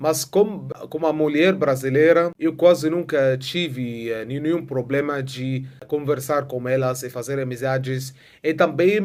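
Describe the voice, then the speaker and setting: A man with an Arabic accent, at a fairly slow pace and with ordinary pitch variation. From Egypt. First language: Arabic (speaking Portuguese). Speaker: vlogger. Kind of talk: casual vlog monologue. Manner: halting, many filler sounds.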